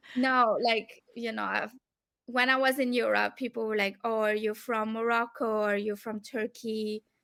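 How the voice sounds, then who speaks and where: On a very clean recording with a silent background, a woman speaks with a French accent at a moderate pace. Her fairly high voice has a bright, sharp tone and monotone, flat intonation. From France or Belgium. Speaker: academic researcher. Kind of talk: casual interview conversation.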